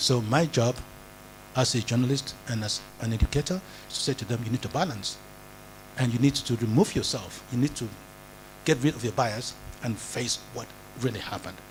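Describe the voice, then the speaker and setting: Despite long, frequent pauses, a man with vocal fry talks at a fairly quick pace. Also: medium pitch for a man, ordinary pitch variation. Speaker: journalism educator. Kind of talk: lecture. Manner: halting.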